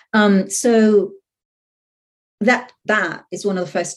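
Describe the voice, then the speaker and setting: A woman speaks in a somewhat breathy voice. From Puerto Rico. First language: Spanish. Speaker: professor. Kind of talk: interview. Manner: hesitant, many fillers.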